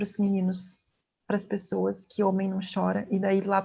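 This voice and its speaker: A woman with a medium pitch and a dark, mellow tone sounds somewhat breathy as she speaks at a fairly slow pace. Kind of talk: lecture.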